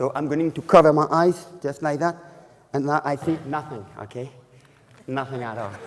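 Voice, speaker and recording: A man speaks with a French accent and ordinary pitch variation. Long pauses come often. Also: fairly high pitch for a man, moderate pace. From France. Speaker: magician. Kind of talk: magic lecture with live demonstration. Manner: halting.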